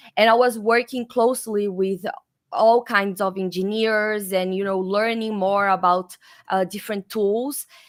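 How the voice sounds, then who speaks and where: A woman with a Brazilian accent speaks fairly slowly at a medium pitch with fairly even intonation, recorded very cleanly against a silent background. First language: Portuguese. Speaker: developer advocate. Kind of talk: interview.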